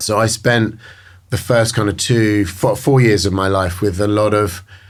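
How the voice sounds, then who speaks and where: Speaking with a British accent, a man keeps a fairly low pitch, very even loudness and fairly even intonation. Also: moderate pace. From England, countryside outside London. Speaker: recovering addict. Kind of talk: interview. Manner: halting, many fillers.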